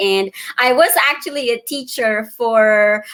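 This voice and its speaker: A woman speaks with a Filipino accent at a fairly high pitch. Her pitch varies in an ordinary way. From Philippines, Davao. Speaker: digital business owner and mentor. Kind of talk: casual interview. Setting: live video stream.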